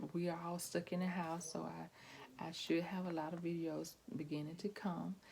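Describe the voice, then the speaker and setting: A soft-spoken woman with a very deep, low pitch, a dark, mellow tone, a somewhat breathy quality and a fairly slow pace. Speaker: pastor's wife vlogger. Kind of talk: casual vlog monologue. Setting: at home. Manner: hesitant, many fillers.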